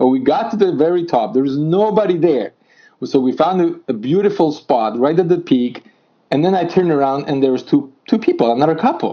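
Speaking with a Polish accent, a man uses a fairly high pitch and lively intonation. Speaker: amateur mountain climber. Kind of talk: interview.

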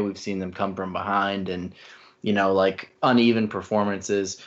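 Delivered at a moderate pace, an ordinary speaking voice holds fairly even intonation. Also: man. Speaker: staff writer and sports podcast co-host. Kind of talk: casual sports podcast discussion.

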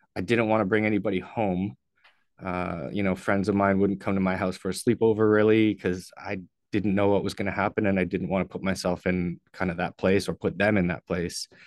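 Against a quiet background, a man with a Canadian accent and a plain, everyday voice talks at a fairly quick pace in a fairly low pitch with fairly even intonation. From Ontario, Canada (St. Catharines). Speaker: person in addiction recovery. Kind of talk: personal testimony in interview.

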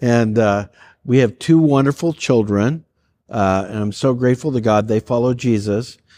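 An unremarkable speaking voice at a fairly slow pace, with ordinary pitch variation and a quiet background. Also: man. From Canada, Calgary, Alberta. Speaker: pastor. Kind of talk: casual chat.

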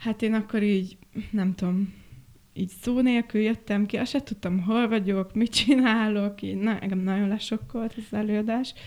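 A woman's normal speaking voice at a fairly high pitch, with fairly even intonation and a moderate pace. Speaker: set and costume designer. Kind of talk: casual chat.

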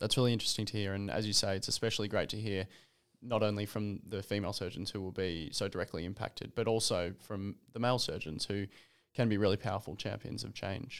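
A man with an Australian accent rattles along at a very fast pace, his fairly low voice fairly even in intonation, in a very clean recording with a silent background. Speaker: podcast host, medical student. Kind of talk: interview. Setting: studio.

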